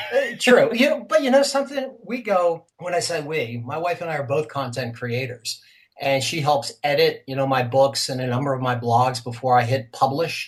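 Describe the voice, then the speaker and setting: Somewhat breathy and fairly high in pitch, a man talks at a moderate pace with hardly any pauses. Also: lively intonation. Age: 50s. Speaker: retired business owner turned cartoonist and blogger. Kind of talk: interview.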